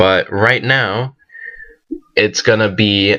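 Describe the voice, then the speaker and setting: With a bright, sharp tone, a man speaks at a fairly low pitch that moves with ordinary variation. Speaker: gaming commentator. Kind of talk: game commentary. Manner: casual slangy.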